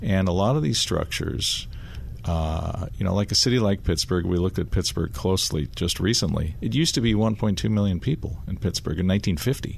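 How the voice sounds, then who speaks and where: With lively intonation and very even loudness, the speaker moves at a moderate pace over noticeable background noise. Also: man, very deep, low pitch for a man. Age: 50s. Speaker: real estate developer. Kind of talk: radio interview answers.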